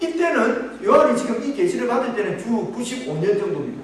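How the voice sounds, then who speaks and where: A man with a Gyeongsang accent talks at a fairly quick pace with very wide pitch swings, amid audible room echo and noticeable background noise. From Gyeongsang region, Korea. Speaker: pastor. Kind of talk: sermon. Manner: halting.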